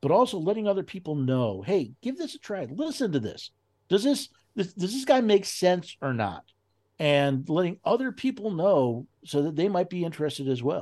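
The pitch swings very widely at a moderate pace. The background is quiet. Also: man, high pitch for a man. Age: 60s. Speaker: constitution educator. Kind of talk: casual chat.

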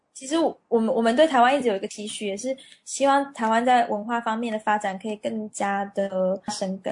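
Somewhat breathy, a woman talks at a fairly quick pace and fairly high pitch with ordinary pitch variation and big swings in loudness. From Taiwan. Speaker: marketing manager at a cosmetics company. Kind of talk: interview.

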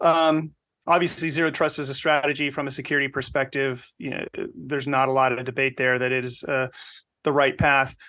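A man has an unremarkable speaking voice, fairly high in pitch, with fairly even intonation. He talks at a fairly quick pace against a quiet background. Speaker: podcast co-host. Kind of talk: casual interview chat.

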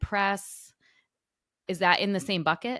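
A woman with a plain, everyday voice, medium pitch and a fairly slow pace, on a very clean recording with a silent background. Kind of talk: casual interview.

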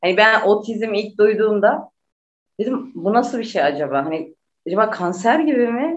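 The woman's voice is fairly high, and her pitch swings very widely. Her pace is moderate. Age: 30s. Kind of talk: interview.

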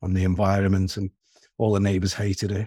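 The recording is very clean with a silent background and a dry, close sound with no echo, as a man with a Liverpool accent speaks in a somewhat breathy, dark, mellow tone at a fairly low pitch. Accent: Scouse. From Merseyside (Wirral, near Liverpool). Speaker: short-term rental owner. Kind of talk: interview. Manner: halting, repeats words.

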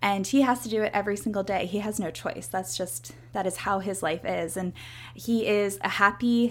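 A woman's plain, everyday voice at medium pitch, with lively intonation and a moderate pace. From US Northeast, Philadelphia suburbs. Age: 30s. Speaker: podcast host, yoga instructor and health coach. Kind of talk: casual solo monologue.

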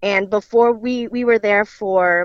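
With an ordinary speaking voice, a woman talks at a fairly high pitch with ordinary pitch variation, in a dry, close sound with no echo and a quiet background. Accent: American. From central Illinois. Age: 20s. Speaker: daughter of murder victim, daycare worker. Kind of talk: interview testimony.

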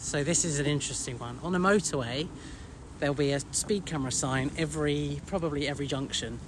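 A man with a fairly high pitch and vocal fry speaks at a very fast pace with ordinary pitch variation. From England. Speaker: podcaster. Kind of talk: casual chat. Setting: outdoors.

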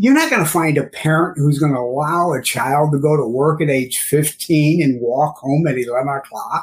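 A man speaks with an American accent, his pitch fairly high and his voice somewhat breathy. His loudness stays very even throughout. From St. Louis, Missouri. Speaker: cleaning chemicals and sanitation specialist. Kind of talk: casual interview.

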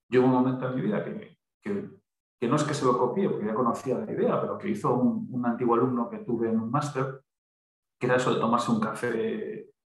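A man's medium-pitched, somewhat breathy voice at a very fast pace, with very wide pitch swings. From Galicia, Pontevedra. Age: 40s. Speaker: human resources trainer. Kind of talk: casual interview.

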